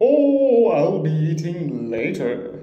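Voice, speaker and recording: Heard with a slight echo, the put-on character voice sits at a middle pitch. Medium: read story. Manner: oily, falsely friendly.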